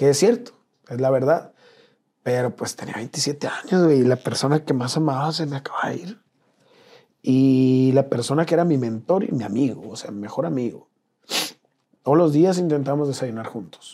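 Dark, mellow male voice, fairly high in pitch, with ordinary pitch variation, a moderate pace and long, frequent pauses. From northern Mexico, Sonora (Nogales). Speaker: travel content creator. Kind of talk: casual interview.

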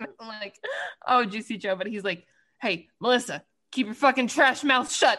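With a normal speaking voice, a woman talks at a moderate pace and a fairly high pitch, her pitch varying in an ordinary way and her loudness in big swings. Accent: American. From Washington DC area. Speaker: podcast co-host. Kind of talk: casual chat.

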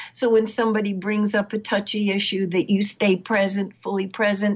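At a moderate pace, the speech comes in an ordinary speaking voice. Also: woman. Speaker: relationship counselor. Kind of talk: casual interview.

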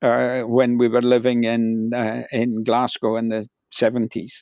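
Against a quiet background, a man at medium pitch talks very slowly, the sound dry and close with no echo. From west of Scotland. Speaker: sports historian and author. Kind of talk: interview. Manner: halting, many fillers.

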